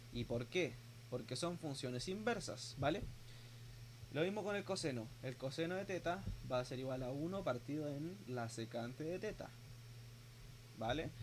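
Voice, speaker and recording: The voice is somewhat breathy. Long, frequent pauses break up the speech. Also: man, medium pitch for a man, moderate pace. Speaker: teaching assistant. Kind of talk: tutorial.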